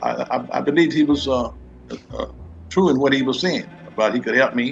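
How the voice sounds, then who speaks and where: A man's fairly brisk delivery carries normal rises and falls in pitch, with music playing behind him. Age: 70s. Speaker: retired postal worker, scam victim. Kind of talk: interview testimony. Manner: halting, many repetitions.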